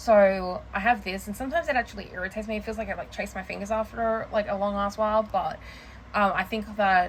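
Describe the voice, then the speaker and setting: Somewhat breathy and medium in pitch, a woman talks at a very fast pace with fairly even intonation. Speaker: planner and journaling vlogger. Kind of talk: casual show-and-tell vlog. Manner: halting, filler-heavy.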